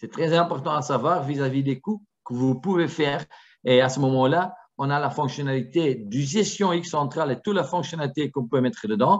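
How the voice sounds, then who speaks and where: This man's voice sits fairly high, somewhat breathy, moving at a moderate pace with ordinary pitch variation. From Flanders, Antwerp. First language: Dutch (Flemish) (speaking French). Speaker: product presenter for a security camera company. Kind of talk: webinar presentation. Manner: halting, with many fillers.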